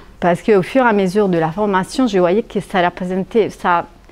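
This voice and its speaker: Fairly slow speech with an Italian accent over noticeable background noise. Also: woman. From Italy. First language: Italian (speaking French). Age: 40s. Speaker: hypnotherapy trainee, luxury sector worker. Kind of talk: testimonial interview. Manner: hesitant, many fillers.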